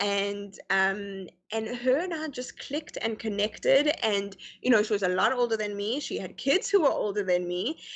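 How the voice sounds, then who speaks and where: A woman with an American accent, fairly high in pitch, at a moderate pace with lively intonation. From South Africa (Pretoria), then Canada. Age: young. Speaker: guest on interview show. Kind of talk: casual interview chat. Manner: halting, many fillers.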